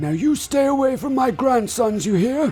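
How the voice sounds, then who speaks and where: Using a put-on character voice, a man speaks at an extremely high pitch with lively intonation. Clear background noise can be heard. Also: moderate pace. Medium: audio drama.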